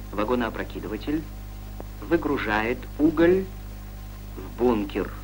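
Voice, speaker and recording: With music in the background, a man talks at a fairly slow pace, taking long, frequent pauses. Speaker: documentary narrator. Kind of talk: scripted narration of a 1960s Soviet educational film. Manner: formal, measured, authoritative newsreel-style delivery; even, didactic, steady pace with little emotion.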